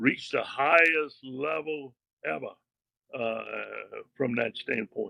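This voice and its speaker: A man with a Louisiana accent speaks at a very slow pace, the sound dry and close with no echo. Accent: Louisiana Southern. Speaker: retired bank executive and author. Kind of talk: interview conversation. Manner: casual, folksy.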